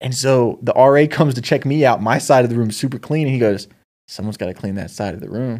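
A man's medium-pitched voice at a very fast pace, with ordinary pitch variation and big swings in loudness, on a very clean recording with a silent background. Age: 20s. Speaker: podcast co-host, aspiring screenwriter. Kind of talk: casual chat. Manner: animated.

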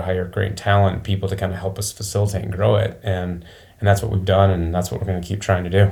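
At a fairly quick pace, a man with an American accent speaks in a very deep, low, somewhat breathy voice with monotone, flat intonation. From Michigan, small town near Flint. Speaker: business owner. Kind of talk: interview.

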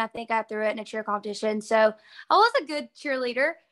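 With a Southern US accent, a woman speaks in a bright, sharp tone at a fairly high pitch over a quiet background. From northeast Alabama. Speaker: college softball player. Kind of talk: casual interview chat.

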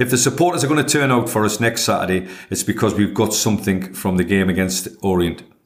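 In a northeast English accent, the speaker goes at a very fast pace with hardly any pauses, lively intonation, and very even loudness. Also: man, fairly low pitch for a man. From northeast England. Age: 60s. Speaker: football manager. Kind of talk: interview.

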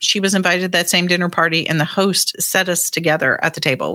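Heard in a very clean recording with a silent background, a woman with a normal speaking voice talks at a fairly quick pace, her fairly low pitch held in fairly even intonation. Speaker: historian and author. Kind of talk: interview recollection.

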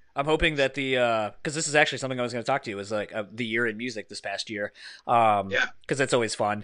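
Against a quiet background, a man with an East Coast American accent talks at a very fast pace in a bright, sharp tone, at a medium pitch with ordinary pitch variation. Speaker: podcast host. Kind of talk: casual chat.

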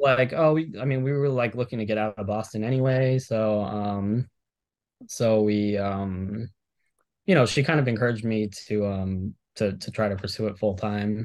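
In an ordinary speaking voice, a man talks at a moderate pace with an American accent. His pitch is fairly low, with ordinary pitch variation. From Miami, Florida. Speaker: professional fantasy sports player. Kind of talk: casual interview. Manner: many fillers and restarts.

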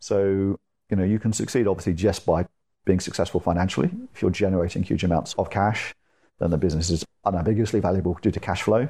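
A man with a British accent, very deep and low in pitch, with a dark, mellow tone, fairly even intonation and a very fast pace against a quiet background. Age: 40s. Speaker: tech entrepreneur and angel investor. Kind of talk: interview. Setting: in person at the guest's home.

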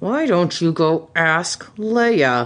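A put-on character voice is pitched in the middle range. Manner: muttering.

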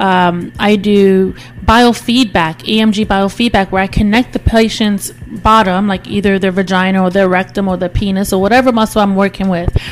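A woman's medium-pitched voice with fairly even intonation and hardly any pauses, over noticeable background noise. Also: moderate pace. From Nigeria. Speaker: physical therapist. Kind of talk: interview, explaining clinical practice.

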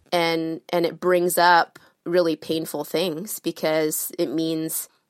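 Flat, monotone woman's voice at a fairly low pitch. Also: dry, close sound with no echo, very clean recording, silent background. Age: 30s. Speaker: interviewed voter. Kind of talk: interview.

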